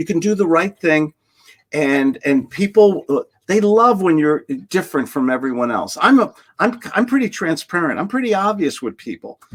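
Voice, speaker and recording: Lively intonation in a New York accent at a moderate pace. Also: man. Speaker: sales trainer. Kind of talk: casual interview chat. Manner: animated.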